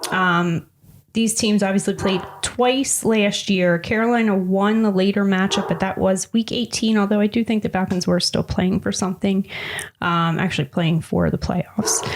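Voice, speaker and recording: At a moderate pace, a woman talks at a medium pitch with very even loudness and fairly even intonation, with noticeable background noise behind her. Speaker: sports betting podcast co-host. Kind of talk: casual chat about betting picks.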